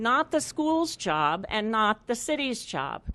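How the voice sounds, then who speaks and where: Lively intonation and a fairly high pitch in a woman's voice, a normal speaking voice. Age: 60s. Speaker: resident speaking at public hearing. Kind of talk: public comment. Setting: public hearing. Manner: formal.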